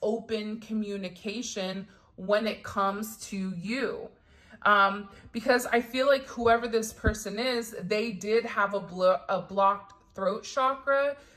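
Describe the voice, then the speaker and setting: Using an ordinary speaking voice, a woman talks at a fairly slow pace. Her pitch sits fairly high, with fairly even intonation. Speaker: tarot reader. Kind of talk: tarot reading.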